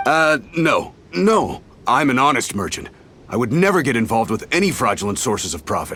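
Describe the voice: A man puts on a character voice at a medium pitch with big pitch swings. His moderate-paced delivery has a bright, sharp tone and a slightly husky edge.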